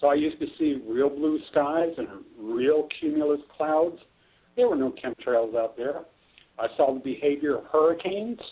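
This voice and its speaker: With an American accent, a man talks at a moderate pace in a fairly high pitch, using ordinary pitch variation. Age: 60s. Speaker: weather manipulation activist. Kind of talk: interview. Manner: halting, many fillers.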